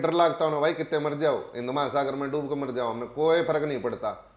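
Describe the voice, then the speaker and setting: A man with a Haryana accent. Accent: Haryanvi. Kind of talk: interview answer. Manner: forceful, blunt.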